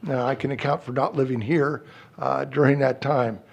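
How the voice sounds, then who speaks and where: The man keeps to a medium tempo. His voice rises and falls normally. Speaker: city council candidate, retired physician assistant. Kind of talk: candidate speech at public forum. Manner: loud.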